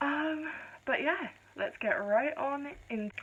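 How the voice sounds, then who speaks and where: A quiet voice with an English accent carries lively intonation. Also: woman. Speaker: vlogger. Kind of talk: casual vlog chat. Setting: filming at home late at night. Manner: speaking quietly. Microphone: poor phone camera audio.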